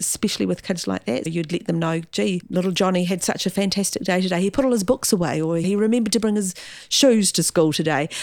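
A woman with a New Zealand accent speaks at a fairly low pitch with ordinary pitch variation, in a very clean recording with a silent background and a dry, close sound with no echo. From New Zealand, Gisborne. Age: 50s. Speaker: school principal. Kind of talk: interview.

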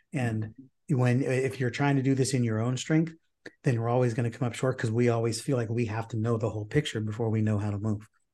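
A very fast, somewhat breathy male voice of medium pitch, dark and mellow in tone, with fairly even intonation, on a very clean recording against a silent background. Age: 50s. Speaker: podcast host and sales coach. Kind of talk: casual chat.

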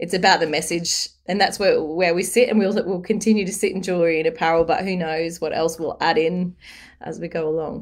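A woman with an Australian accent speaks at a fairly quick pace and fairly low pitch. Her intonation is fairly even, and the recording is very clean with a silent background. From Newcastle, Australia. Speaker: small business founder. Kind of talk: interview.

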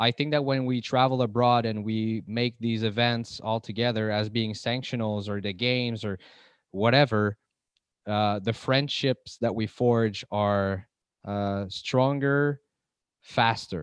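A man speaks at a medium pitch in a normal speaking voice. His pace is fairly slow and his intonation fairly even. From Montreal, Canada. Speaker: podcast host.

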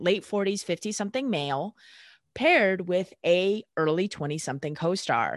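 An ordinary speaking voice moves at a moderate pace with lively intonation, the sound dry and close with no echo against a quiet background. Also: woman. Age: 30s. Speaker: sports chiropractor. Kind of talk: casual interview.

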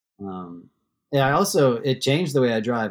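On a very clean recording with a silent background, a man uses an ordinary speaking voice at a moderate pace with fairly even intonation. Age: 40s. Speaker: professional backcountry skier and guide. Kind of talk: casual interview chat.

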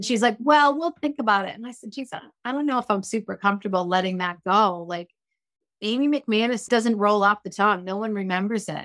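In a very clean recording with a silent background, a woman with a fairly high pitch and an animated tone talks at a fairly quick pace, with ordinary pitch variation and big swings in loudness. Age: 50s. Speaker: hairstylist and balayage educator. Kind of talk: casual interview chat.

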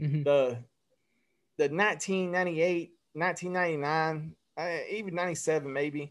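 Over a very clean recording with a silent background, a man speaks very slowly in a Southern US accent with fairly even intonation. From Alabama (Phenix City). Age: 30s. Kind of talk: casual chat.

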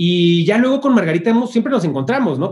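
Somewhat breathy, a man's voice rushes along at a very fast pace. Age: 30s. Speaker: music marketing agency founder. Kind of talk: interview. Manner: casual.

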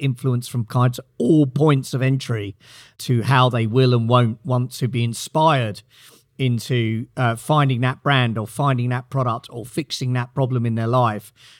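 A man with a British accent speaks at medium pitch and a moderate pace with fairly even intonation. The recording is very clean and the background silent. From Britain. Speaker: company CEO. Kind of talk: interview.

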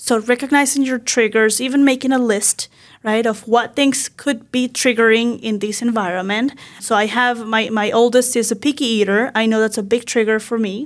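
This woman speaks with a Spanish accent. Her pitch is fairly high and her intonation fairly even. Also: moderate pace. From Venezuela. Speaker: mental health counselor. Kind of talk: interview.

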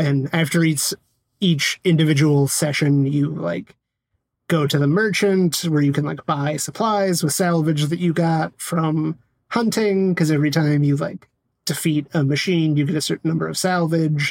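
A plain, everyday voice from a man, fairly high in pitch, at a moderate pace with fairly even intonation. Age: 30s. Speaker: podcast co-host. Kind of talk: casual chat.

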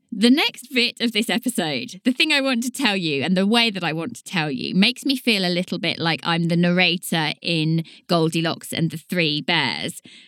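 A woman with a Southern English accent has a bright, sharp tone, a medium pitch and lively intonation at a moderate pace with hardly any pauses. The recording is very clean, with a silent background and a dry, close sound with no echo. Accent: southern English, slight t and d dropping. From southern England. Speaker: podcast host and author. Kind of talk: solo educational monologue.

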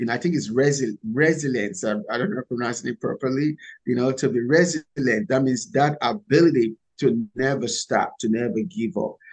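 Spoken at a moderate pace with lively intonation and a Nigerian accent, the voice has a dry, close sound with no echo. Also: man, medium pitch for a man. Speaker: startup founder and CEO. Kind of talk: interview conversation.

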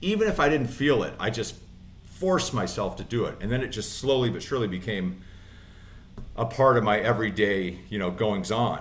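Audible room echo surrounds a man speaking at a fairly quick pace at medium pitch with ordinary pitch variation. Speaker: inspirational speaker and former inmate in recovery. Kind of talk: interview testimony. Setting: studio.

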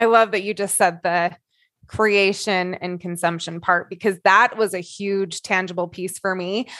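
Over a quiet background, a woman speaks at a moderate pace and medium pitch in a bright, sharp tone with monotone, flat intonation. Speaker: coach. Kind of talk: group discussion.

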